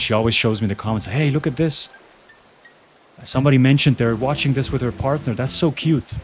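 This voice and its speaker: A slight Swiss German accent over music in the background. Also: man. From Switzerland. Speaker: gaming streamer. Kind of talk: casual chat. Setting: live stream.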